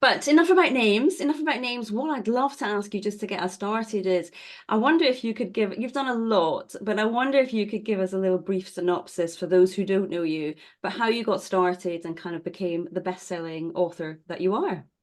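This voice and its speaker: With an ordinary speaking voice, a woman at medium pitch talks at a fairly quick pace with lively intonation against a quiet background. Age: 50. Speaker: podcast host and author. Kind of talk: interview.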